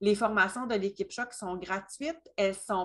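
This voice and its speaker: A woman talks at a moderate pace at medium pitch in a normal speaking voice. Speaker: remedial teacher. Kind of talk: webinar presentation.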